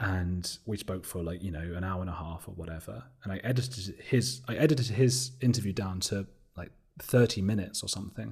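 With an English accent, a man with a fairly low pitch talks at a fairly quick pace, somewhat breathy, with big swings in loudness and ordinary pitch variation, on a very clean recording with a silent background. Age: 30s. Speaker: documentary maker and podcast host. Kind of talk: interview. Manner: talkative.

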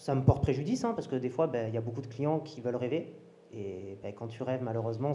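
A man talks at a very fast pace and medium pitch with ordinary pitch variation over noticeable background noise. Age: 30s. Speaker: crypto and new tech coach, business owner. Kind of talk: casual chat. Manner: animated.

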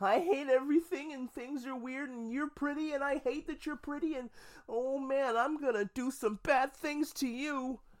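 A female-sounding voice puts on a character voice pitched high. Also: moderate pace. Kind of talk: melodramatic. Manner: sulky, angry, obsessive.

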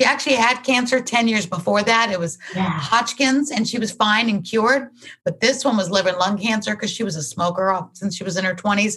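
Over noticeable background noise, a woman talks at a fairly quick pace with hardly any pauses, her fairly high pitch showing ordinary variation. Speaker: former actress and TV talk show host. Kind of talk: interview.

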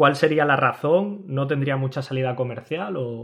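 An ordinary speaking voice talks at a fairly slow pace with ordinary pitch variation. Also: man. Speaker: podcast co-host. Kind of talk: casual chat.

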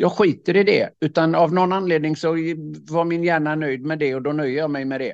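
This man talks fairly quickly in an unremarkable speaking voice. His pitch is fairly high and his intonation fairly even. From Swedish west coast. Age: 60s. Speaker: leadership speaker and author. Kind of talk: casual interview conversation. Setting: video call.

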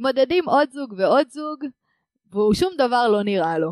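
Recorded dry and close with no echo over a quiet background, a woman speaks at a fairly slow pace with lively intonation. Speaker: podcast host. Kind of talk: casual chat. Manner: exaggerated clear diction.

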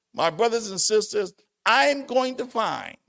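Over a silent background in a very clean recording, a man speaks fairly slowly in a high-pitched, animated tone. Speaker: pastor. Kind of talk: sermon, Bible lesson. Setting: church. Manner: animated, preacher in full flow, emphatic and exhortative.

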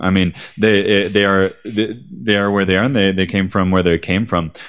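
A man speaks in a fairly low pitch with an American accent. It is a plain, everyday voice. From United States. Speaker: travel guide and writer. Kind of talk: interview.

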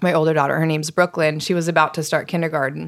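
A woman's fairly low, unremarkable speaking voice with fairly even intonation, on a very clean recording with a silent background. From US East Coast. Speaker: nonprofit founder and yoga teacher. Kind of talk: interview.

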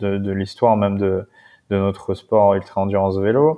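This man talks at a moderate pace in a fairly low pitch. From Paris suburbs (Seine-Saint-Denis). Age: 30s. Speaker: adventurer and endurance cyclist. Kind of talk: casual interview.

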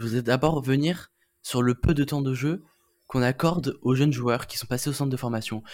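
Recorded very cleanly against a silent background, a man speaks with an unremarkable speaking voice. His pitch is medium, with ordinary pitch variation. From Toulon. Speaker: rugby podcast co-host. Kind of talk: casual chat.

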